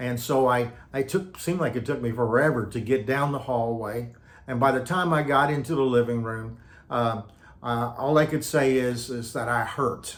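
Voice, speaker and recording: A man with an American accent, medium-pitched, at a moderate pace, fairly even intonation, audible room echo. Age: 70s. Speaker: retired pastor. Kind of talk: personal testimony. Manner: halting with many fillers and repetitions.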